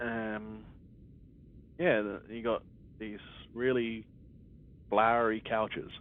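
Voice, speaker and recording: A man speaks at a very slow pace. His intonation is monotone and flat. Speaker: gamer doing a let's play. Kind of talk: game commentary. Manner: halting, self-correcting; casual, conversational.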